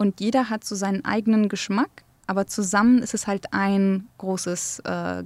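A woman speaks with a Kurdish accent and fairly even intonation on a very clean recording with a silent background. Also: dry, close sound with no echo. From Germany (grew up in a village from age six), born in Erbil. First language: Kurdish (speaking German). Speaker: archaeologist and game developer. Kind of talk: interview.

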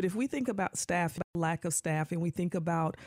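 On a very clean recording with a silent background and a dry, close sound with no echo, a woman with a plain, everyday voice speaks at a fairly low pitch with ordinary pitch variation. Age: 40s. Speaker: radio host and school district worker. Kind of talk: casual talk radio chat.

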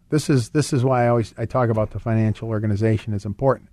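A man talks at a fairly quick pace with medium pitch and fairly even intonation. His tone is dark and mellow over a quiet background. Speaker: radio host and financial advisor. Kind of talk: radio call-in show monologue on finance. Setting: radio studio. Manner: fast.

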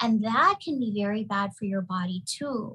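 A woman with an ordinary speaking voice, fairly high in pitch, at a fairly slow pace. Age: 40s. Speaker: pharmacist and keto health practitioner. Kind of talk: casual chat.

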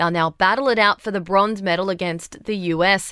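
Speaking at a moderate pace, a woman with an Australian accent has a bright, sharp tone. Her intonation stays fairly even. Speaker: news presenter. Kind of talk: formal newsreading. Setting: studio. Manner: brisk, crisp bulletin delivery; even, neutral newsreader tone.

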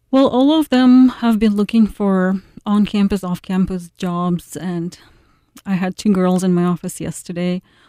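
A woman with a Ukrainian accent at a fairly slow pace, medium in pitch with ordinary variation and a dark, mellow tone, dry and close with no echo on a very clean recording with a silent background. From Ukraine, Kyiv. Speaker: university administrator. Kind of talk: radio interview. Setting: studio.

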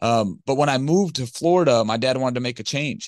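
A man with an American accent uses a normal speaking voice at medium pitch, with ordinary pitch variation and a fairly quick pace, against a quiet background. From Detroit, Michigan. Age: 30s. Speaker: recovering addict and business owner. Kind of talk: podcast interview testimony.

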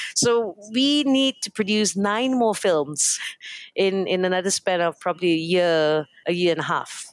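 In a very clean recording with a silent background and a dry, close sound with no echo, a woman with a Fujianese accent speaks at a medium pitch and a fairly slow pace, with lively intonation and very even loudness. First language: Hokkien. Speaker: company founder and CEO. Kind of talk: radio interview. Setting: studio.

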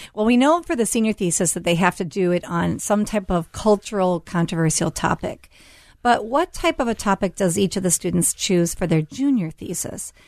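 A woman with an American accent speaks at a moderate pace and medium pitch, with an ordinary speaking voice. Her intonation is lively, and the background is quiet. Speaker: radio host and school headmaster. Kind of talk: radio talk show hosting. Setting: studio.

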